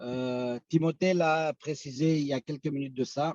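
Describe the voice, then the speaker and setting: In a dry, close recording with no echo, a man with a dark, mellow tone and fairly high pitch speaks fairly slowly with ordinary pitch variation. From Belgium (Romanian-born, arrived as teen). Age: 40s. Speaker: company founder. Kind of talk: business presentation. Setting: video call. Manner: halting, many hesitations.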